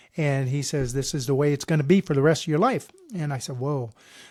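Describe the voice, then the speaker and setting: A man speaks at a fairly high pitch. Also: very clean recording, silent background. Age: 60s. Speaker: fitness vlogger. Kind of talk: casual monologue. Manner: halting.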